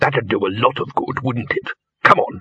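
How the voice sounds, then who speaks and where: A man puts on a character voice at a medium pitch and a moderate pace. Hissing runs through the recording. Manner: hissed, sarcastic.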